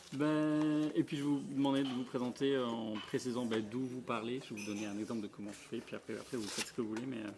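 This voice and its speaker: The speaker is a man with a medium pitch. He talks very fast, with hardly any pauses and ordinary pitch variation. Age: 30s. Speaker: radio show host. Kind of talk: casual group discussion.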